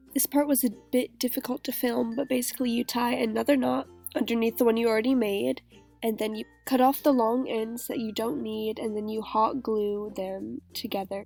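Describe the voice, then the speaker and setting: Music plays in the background as a woman speaks at a moderate pace, her pitch fairly high with ordinary variation. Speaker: model horse hobbyist. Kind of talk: craft tutorial narration.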